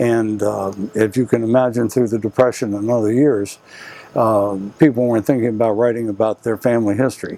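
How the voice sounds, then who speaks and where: Over noticeable background noise, a man speaks with an American accent at a fairly quick pace. His medium-pitched voice is monotone, with flat intonation. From Arlington, Virginia, US. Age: 70s. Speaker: retired author interviewed about his memoir. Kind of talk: interview. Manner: halting, frequent uh fillers.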